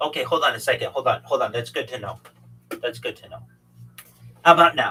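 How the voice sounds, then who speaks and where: Very fast male speech with big swings in loudness and music in the background. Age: 40s. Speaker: livestreamer and futurist, guest on podcast. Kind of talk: casual conversation.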